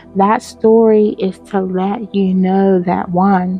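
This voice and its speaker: Music plays in the background as a woman speaks at medium pitch. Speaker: spirituality podcast host. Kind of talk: spiritual talk monologue. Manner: many filler words (um, uh).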